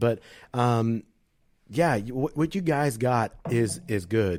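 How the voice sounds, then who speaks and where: A man's dark, mellow voice at medium pitch with ordinary pitch variation, on a very clean recording with a silent background. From Puerto Rican heritage. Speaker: podcaster. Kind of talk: casual chat. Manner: slurred words.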